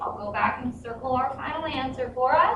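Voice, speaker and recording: A woman's raised, projected voice with very wide pitch swings, amid noticeable background noise and audible room echo. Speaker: math teacher. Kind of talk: tutorial.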